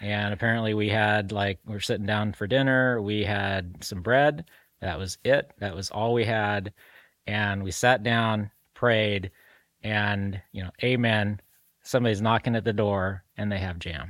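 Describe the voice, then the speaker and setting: A man with a normal speaking voice talks at a fairly slow pace in a fairly low pitch, his intonation fairly even, the sound dry and close with no echo on a very clean recording with a silent background. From Salem, Oregon (born in Mexico, moved young). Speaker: marketing company owner. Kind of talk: interview.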